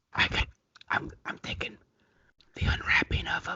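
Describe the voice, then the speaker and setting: A man whispering. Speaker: comedian, co-host of an ASMR comedy show. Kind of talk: casual comedy banter with ASMR-style soft delivery.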